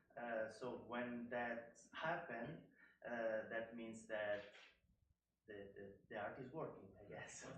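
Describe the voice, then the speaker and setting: Very slow speech in an Italian accent with long, frequent pauses, fairly even intonation and audible room echo. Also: man, medium pitch for a man. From Italy. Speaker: artist. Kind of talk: panel talk. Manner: halting.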